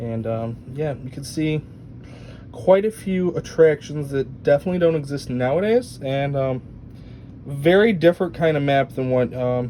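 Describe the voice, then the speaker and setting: A man with a fairly high pitch talks at a moderate pace with ordinary pitch variation. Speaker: theme park video creator. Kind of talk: casual show-and-tell narration. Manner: halting, many fillers.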